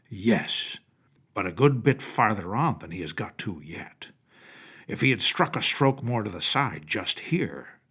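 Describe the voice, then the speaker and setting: Putting on a character voice, a man speaks at a moderate pace and medium pitch on a very clean recording with a silent background. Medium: read story. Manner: gruff, know-it-all.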